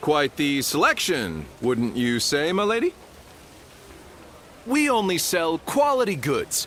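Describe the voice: A man puts on a character voice with a fairly high pitch and a fairly bright tone. He talks at a slow pace, and his pitch swings widely.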